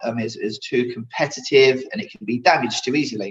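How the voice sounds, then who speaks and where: Here a man talks at a moderate pace. His pitch is medium. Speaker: specification manager giving a training seminar. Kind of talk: lecture. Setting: virtual online seminar. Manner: hesitant, many fillers and repeated words.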